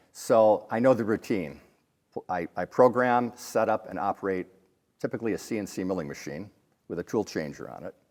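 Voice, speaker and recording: Someone with an American accent talks at a moderate pace with ordinary pitch variation. The recording is very clean, with a silent background. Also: man. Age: 60s. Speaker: machinist and interview guest. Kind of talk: interview. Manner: halting.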